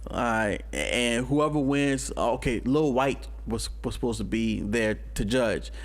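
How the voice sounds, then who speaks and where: Room echo can be heard as a man speaks at a fairly slow pace. His loudness stays very even, with hardly any pauses. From New Orleans, Louisiana. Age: 30s. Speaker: hip hop artist. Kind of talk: casual chat. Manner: animated.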